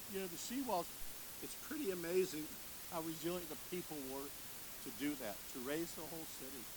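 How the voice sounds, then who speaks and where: A man's high, lively voice with an American accent at a moderate pace, with audible room echo. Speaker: park board chief executive. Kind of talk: ceremony speech. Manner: loud.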